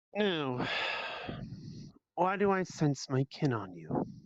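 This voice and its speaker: In a put-on character voice, a man talks at a fairly slow pace and a fairly high pitch. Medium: actual play. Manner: terse, solemn.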